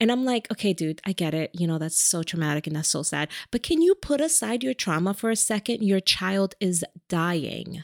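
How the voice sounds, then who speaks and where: A woman speaks at a moderate pace with a fairly low pitch and an animated tone. The sound is dry and close, with no echo. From New York. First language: a language other than English. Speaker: podcast co-host. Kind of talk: casual chat.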